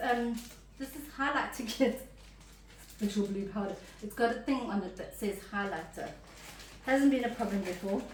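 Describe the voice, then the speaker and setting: Over noticeable background noise, a woman speaks at a moderate pace in a fairly high voice with lively intonation. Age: 50s. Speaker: full-time traveller. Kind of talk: casual talk to camera.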